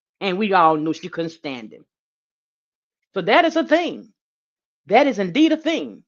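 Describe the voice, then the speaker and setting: A woman at a medium pitch talks at a moderate pace with vocal fry, very wide pitch swings, big swings in loudness, and long, frequent pauses. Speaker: true crime livestreamer. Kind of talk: livestream commentary.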